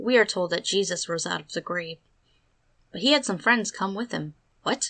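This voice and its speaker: With lively intonation, a woman talks at a moderate pace. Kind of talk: commentary narration.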